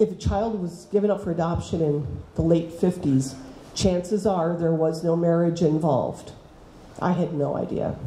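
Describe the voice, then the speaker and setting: Both audible room echo and noticeable background noise accompany speech at a moderate pace. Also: woman, fairly low pitch for a woman. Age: 60s. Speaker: teacher. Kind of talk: talk to students. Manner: animated.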